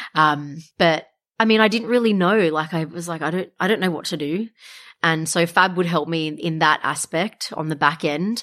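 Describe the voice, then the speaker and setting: In an Australian accent, a woman speaks with a fairly low pitch. Her pitch variation is ordinary. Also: moderate pace, very clean recording, silent background. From Australia, Wollongong. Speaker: tea business founder. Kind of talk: interview.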